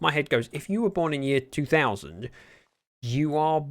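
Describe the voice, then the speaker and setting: Using lively intonation, a man with a British accent speaks at a moderate pace. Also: very clean recording, silent background. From Britain. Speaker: Minecraft streamer. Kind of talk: casual livestream gameplay commentary. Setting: livestream.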